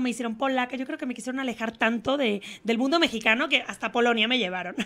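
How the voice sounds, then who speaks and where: Speaking at a very fast pace with hardly any pauses, a woman talks in a high pitch. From Spain. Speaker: actress. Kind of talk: TV interview; interview answer. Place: studio. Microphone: handheld.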